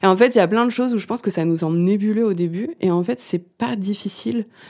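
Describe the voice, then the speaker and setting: The woman's voice has a dark, mellow tone. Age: 30s. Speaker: musician and songwriter. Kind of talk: casual interview. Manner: halting, many fillers.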